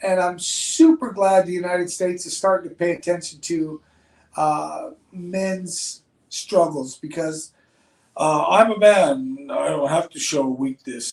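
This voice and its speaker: At a fairly slow pace, a man with a high voice speaks with lively intonation and big swings in loudness. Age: 60s. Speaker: podcast host. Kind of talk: casual chat.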